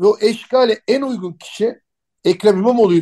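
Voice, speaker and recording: A man talks at a fairly quick pace in a dark, mellow tone. His pitch varies normally, and the sound is dry and close with no echo. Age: 50s. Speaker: political communication consultant and writer. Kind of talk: radio interview.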